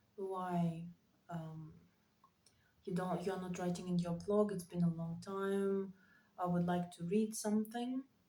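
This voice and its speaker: A woman talks at a fairly slow pace with long, frequent pauses, her medium-pitched voice somewhat breathy with a dark, mellow tone. Her intonation stays fairly even. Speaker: writer vlogger. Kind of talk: casual monologue vlog. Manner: halting, many fillers.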